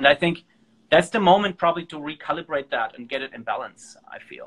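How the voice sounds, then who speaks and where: A man speaks with a German accent in a high voice for a male. His pitch varies in an ordinary way at a fairly quick pace. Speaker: organization founder and host. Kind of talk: casual interview conversation. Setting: live stream from a phone.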